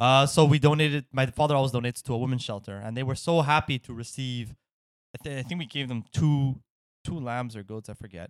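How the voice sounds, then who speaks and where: Very fast, a man talks at medium pitch with ordinary pitch variation, the sound dry and close with no echo on a very clean recording with a silent background. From Quebec. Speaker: podcast co-host. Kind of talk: casual banter comedy chat. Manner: joking, laughs often.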